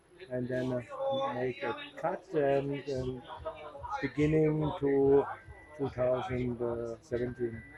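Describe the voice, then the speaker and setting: With long, frequent pauses, the speaker moves at a very slow pace and fairly even intonation over noticeable background noise. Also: man, fairly high pitch for a man. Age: 60s. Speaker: rally driver and team owner. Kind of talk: casual interview. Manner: halting, broken English.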